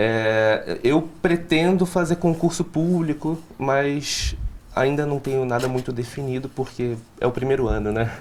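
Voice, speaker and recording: A man with a Recife accent, fairly high in pitch, ordinary pitch variation, fairly slow pace, and noticeable background noise. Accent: Recife accent, retained. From Recife, Pernambuco, Brazil. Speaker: law student. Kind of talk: interview. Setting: studio.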